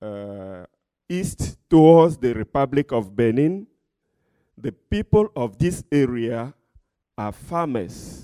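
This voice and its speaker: A man with a dark, mellow tone and a medium pitch speaks at a very slow pace with long, frequent pauses, very wide pitch swings and big swings in loudness, in a dry, close sound with no echo. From Togo, West Africa. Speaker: pastor and missionary. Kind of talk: testimony, church talk.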